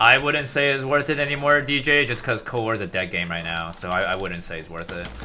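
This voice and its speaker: Talking at a fairly quick pace with hardly any pauses, a man at medium pitch makes very wide pitch swings amid audible room echo and noticeable background noise. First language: Mandarin. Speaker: gaming streamer. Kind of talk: live stream commentary.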